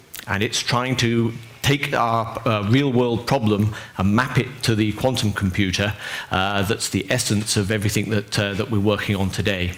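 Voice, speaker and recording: A man with a European accent speaks at a moderate pace, fairly low in pitch with fairly even intonation. His loudness stays very even, with audible room echo. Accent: non-North American, European. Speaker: tech company engineer presenter. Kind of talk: lecture. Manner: halting, many fillers.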